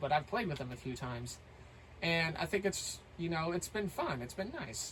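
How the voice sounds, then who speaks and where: Over music in the background, a man with a high pitch talks at a fairly quick pace with lively intonation. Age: 30s. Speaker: gaming content creator. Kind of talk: casual vlog monologue. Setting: recorded at home while playing a game. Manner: halting, many fillers.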